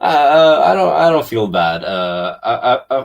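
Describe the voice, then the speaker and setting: At a medium pitch, a man talks with vocal fry and very wide pitch swings. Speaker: actor. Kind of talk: casual interview. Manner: halting, many fillers.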